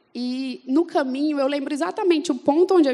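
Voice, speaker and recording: A high-pitched woman in a Fortaleza accent at a moderate pace. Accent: Northeastern Brazilian (Fortaleza). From Brazil, Fortaleza (Northeast). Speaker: church member giving testimony. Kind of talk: testimony. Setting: church event with audience.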